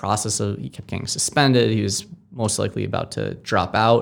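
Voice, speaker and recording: Over music in the background, a man with an American accent talks at a fairly quick pace, his pitch fairly low with ordinary variation. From Massachusetts, Amherst. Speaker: nonprofit founder. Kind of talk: interview. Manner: halting.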